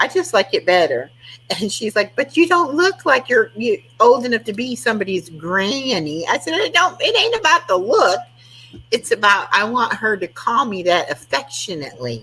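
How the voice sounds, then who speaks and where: Noticeable background noise surrounds a woman talking at a moderate pace. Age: 60s. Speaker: live stream host. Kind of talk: casual chat. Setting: live stream.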